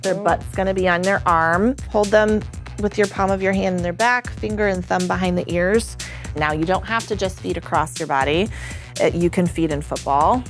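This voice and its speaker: With clear music playing in the background, a woman talks at a fairly quick pace. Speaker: lactation educator. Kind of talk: tutorial. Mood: upbeat, friendly. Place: studio. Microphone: lapel.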